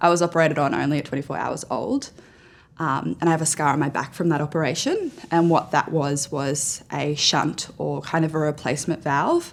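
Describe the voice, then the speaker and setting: This woman has a very deep, low pitch and speaks with an Australian accent. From Australia (central West New South Wales). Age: 20s. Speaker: journalist. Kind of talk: personal testimony interview. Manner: loud.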